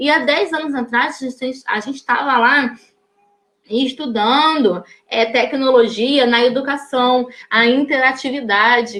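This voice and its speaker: Fairly even intonation and a fairly slow pace from a woman with a high pitch. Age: 30s. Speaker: educator giving a teacher training talk. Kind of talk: live online talk. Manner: hesitant, many fillers.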